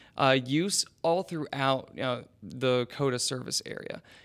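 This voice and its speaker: Over a very clean recording with a silent background, a man with an ordinary speaking voice talks at a fairly slow pace. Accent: American. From West Virginia. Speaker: urban planner. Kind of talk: interview.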